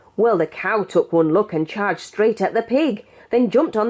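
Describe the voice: A woman with a British accent, a slightly mellow tone and a fairly slow pace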